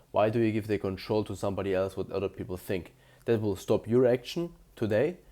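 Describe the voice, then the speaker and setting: A man with a German accent at a moderate pace. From Germany. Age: 20s. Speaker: self-improvement youtuber. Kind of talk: motivational monologue to camera. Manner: casual, slightly halting.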